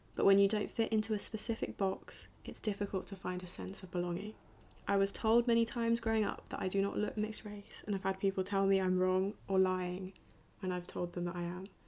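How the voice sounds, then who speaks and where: Monotone, flat intonation in a southern English accent. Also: woman, medium pitch for a woman, fairly quick pace. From southern England, Brighton. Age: 20s. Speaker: student filmmaker. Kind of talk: documentary narration.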